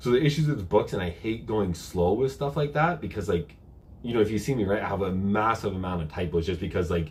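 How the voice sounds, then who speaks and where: A man talks at a very fast pace with lively intonation and a fairly low pitch. His voice is somewhat breathy. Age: 30s. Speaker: health and bodybuilding youtuber. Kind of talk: live q&a stream. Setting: live stream on camera. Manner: casual, conversational.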